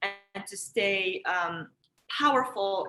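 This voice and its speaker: With a Moroccan accent, a woman speaks in a bright, sharp tone and ordinary pitch variation. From Morocco, Marrakesh. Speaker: energy practice teacher, self-care coach. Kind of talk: online workshop, guided energy practice. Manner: calm, soothing guidance.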